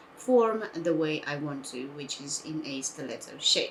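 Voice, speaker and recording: Over noticeable background noise, a woman speaks very slowly with a very deep, low pitch. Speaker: nail art youtuber. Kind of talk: tutorial.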